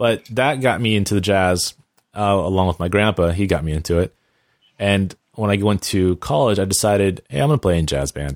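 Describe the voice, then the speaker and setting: A man's very deep, low voice at a moderate pace, with ordinary pitch variation and a dry, close sound with no echo. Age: 30s. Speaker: television composer. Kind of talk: casual chat.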